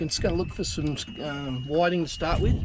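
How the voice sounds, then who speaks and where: A man speaks with an Australian accent. Noticeable background noise can be heard. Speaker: fishing vlogger. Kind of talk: casual vlog narration. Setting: outdoors on a boat.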